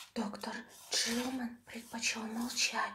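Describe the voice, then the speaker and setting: A soft-spoken woman whispering amid noticeable background noise. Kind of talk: audiobook reading of a horror story, ASMR style. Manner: whispered, soft, relaxing.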